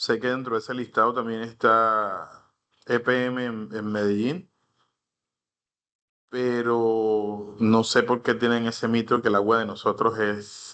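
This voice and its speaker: A very slow, monotone, flat delivery with a bright, sharp tone over a quiet background. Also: man, medium pitch for a man. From Colombia, Caribbean coast (Cartagena). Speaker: instructor. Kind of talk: online class lecture. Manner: halting, many fillers.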